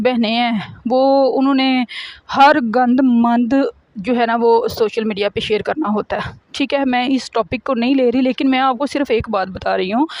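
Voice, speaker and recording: A woman with a Punjabi accent speaks at a high pitch. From Pakistan, Punjab. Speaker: vlogger. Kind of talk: casual vlog talk.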